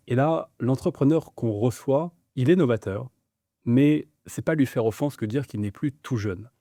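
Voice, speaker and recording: In a very clean recording with a silent background and a dry, close sound with no echo, a man with medium pitch and a dark, mellow tone speaks at a moderate pace with ordinary pitch variation. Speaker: interviewer, business show host. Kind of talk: interview questions.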